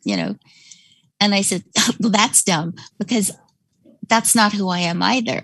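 A woman's medium-pitched, somewhat breathy voice against a quiet background. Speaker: caller. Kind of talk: casual chat. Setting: video call.

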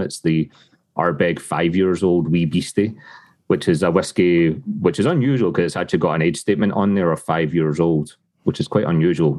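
Speaking at a fairly quick pace in a Glasgow accent, a man uses a very deep, low pitch with ordinary pitch variation. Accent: Scottish (Glasgow area). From Scotland, Lanarkshire near Glasgow. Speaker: whisky brand ambassador. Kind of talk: casual interview chat. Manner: upbeat, laughs often.

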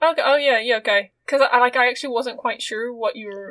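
Speaking at a very fast pace, a woman has a high pitch. She talks with a British accent and ordinary pitch variation. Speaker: podcast host. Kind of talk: casual chat.

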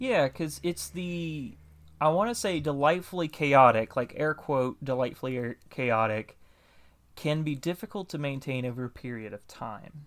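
Speaking at a moderate pace, a man with a Southern US accent uses lively intonation and a fairly high pitch in a very clean recording with a silent background. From US South. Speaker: podcast host interviewer. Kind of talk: casual interview chat.

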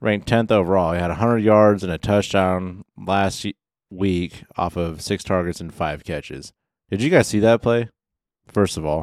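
A man with a very deep, low pitch at a moderate pace, in a very clean recording with a silent background and a dry, close sound with no echo. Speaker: fantasy football podcast co-host. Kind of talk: casual banter podcast. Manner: monotone, says he can't inflect.

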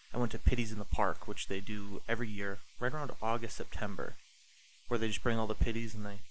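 The pace here is fairly quick. It is a normal speaking voice, and its pitch varies in an ordinary way. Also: man. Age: 30s. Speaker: dog trainer. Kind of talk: casual chat.

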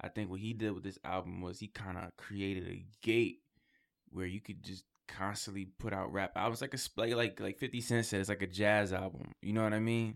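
A man in a New York accent, fairly quick and fairly even in intonation, on a very clean recording with a silent background. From Queens, New York. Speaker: rapper and actor. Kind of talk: casual interview chat. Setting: studio.

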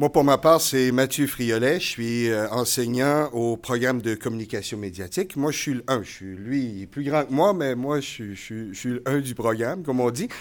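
A man with an unremarkable speaking voice talks at a fairly slow pace, with hardly any pauses. His pitch is medium, with ordinary pitch variation. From New Brunswick, Canada. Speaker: college communications teacher. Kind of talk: live podcast interview before audience. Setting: stage with audience.

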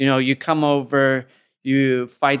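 On a very clean recording with a silent background, a man with an American accent speaks at a medium pitch in a flat monotone. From US, upstate New York and Oakland. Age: 30s. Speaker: fight commentator and former fighter. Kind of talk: casual interview chat.

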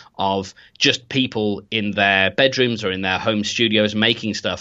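A man speaks with a Birmingham accent. His pitch is fairly low and his pace moderate. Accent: Birmingham English (Brummie). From Birmingham, England. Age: 30s. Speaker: web developer and podcast hosting founder. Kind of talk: interview.

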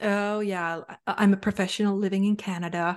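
A woman with a Finnish accent speaks at a moderate pace and medium pitch in a monotone, flat way, against a quiet background. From Finland. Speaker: sales coach and advisor. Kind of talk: casual interview chat.

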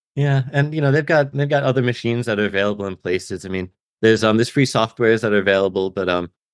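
Against a quiet background with a dry, close sound and no echo, a man with an American accent talks at a very fast pace in a fairly low pitch with ordinary pitch variation. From Albany, New York. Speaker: makerspace co-founder. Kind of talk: interview.

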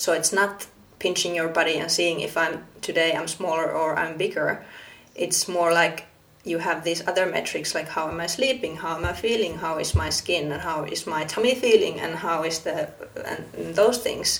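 With a Finnish accent, a woman speaks at a moderate pace in a fairly low voice with ordinary pitch variation. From Finland. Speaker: podcast host. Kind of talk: interview conversation; podcast intro.

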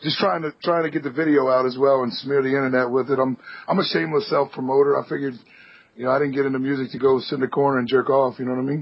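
Over noticeable background noise, a man talks at a very fast pace broken by long, frequent pauses. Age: 20s. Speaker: metal band musician. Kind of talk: casual chat.

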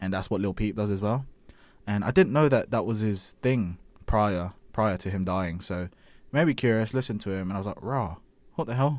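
A man with an unremarkable speaking voice and a somewhat deep pitch that varies a normal amount delivers his words at a medium tempo, recorded very cleanly against total silence. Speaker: podcast co-host. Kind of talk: casual chat.

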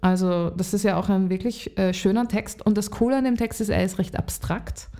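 A woman's dark, mellow voice at medium pitch with ordinary pitch variation, on a very clean recording with a silent background. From Lower Austria. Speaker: singer-songwriter. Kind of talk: casual interview.

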